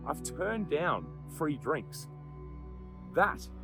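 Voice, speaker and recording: A man with an Australian accent at a fairly slow pace, music in the background. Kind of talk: personal story to camera. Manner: candid, casual.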